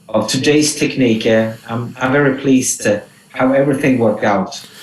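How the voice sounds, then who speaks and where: Amid noticeable background noise, a man with a Swedish accent speaks at a moderate pace in a medium pitch with fairly even intonation. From southern Sweden. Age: 50s. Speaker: rock singer. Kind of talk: radio interview. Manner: halting.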